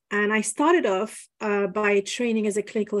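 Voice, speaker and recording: The speaker has a French accent and keeps a moderate pace. The background is quiet. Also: woman. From France, Paris. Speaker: business and spiritual mentor, former lawyer. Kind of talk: podcast interview.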